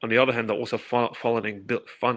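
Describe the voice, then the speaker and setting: In a very clean recording with a silent background, a man with a London accent speaks in a bright, sharp tone at medium pitch, flat and monotone, with vocal fry. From England, London. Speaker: activist commentator. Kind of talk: podcast interview. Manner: fast, repeating words.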